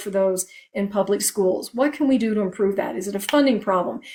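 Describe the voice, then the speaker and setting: Talking at a very fast pace, a woman uses a fairly high pitch with ordinary variation. Noticeable background noise can be heard. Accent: American. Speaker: political candidate. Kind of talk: interview. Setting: livestream interview.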